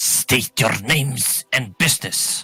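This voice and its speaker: Putting on a character voice, a man speaks at a fairly slow pace, raspy and hissing. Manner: commanding.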